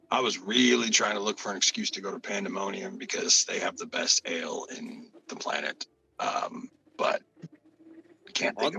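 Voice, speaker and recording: In a raspy, put-on character voice, a man speaks at a moderate pace with long, frequent pauses, the sound dry and close with no echo. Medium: actual play. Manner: casual, straightforward.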